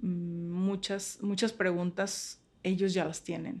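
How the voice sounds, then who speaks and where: Very slowly and with fairly even intonation, a woman speaks at a fairly low pitch on a very clean recording with a silent background. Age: 30s. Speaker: teacher and psychologist. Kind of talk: interview conversation. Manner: halting, many repetitions.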